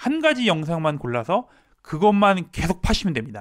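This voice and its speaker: A man with a high pitch and very wide pitch swings, at a moderate pace against a quiet background. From South Korea. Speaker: Korean language teacher. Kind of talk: tutorial. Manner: formal. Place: home room. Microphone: handheld.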